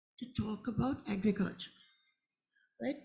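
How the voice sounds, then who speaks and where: The speaker is a woman. She has a dark, mellow tone. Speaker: conservation scientist. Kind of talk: panel discussion. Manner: halting.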